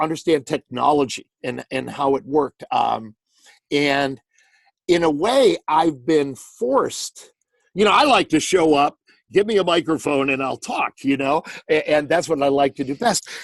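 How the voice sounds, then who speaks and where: An ordinary speaking voice, this man's is fairly high-pitched, with ordinary pitch variation and a moderate pace, in a dry, close sound with no echo. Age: 60s. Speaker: sports announcer. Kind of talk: interview answer. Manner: conversational, reflective.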